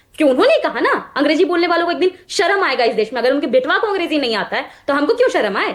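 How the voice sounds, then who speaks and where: A woman's pitch swings very widely as she keeps to a moderate pace. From Bihar, Magadh region. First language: Magahi (speaking Hindi). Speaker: political party spokesperson. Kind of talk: heated TV debate. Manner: animated.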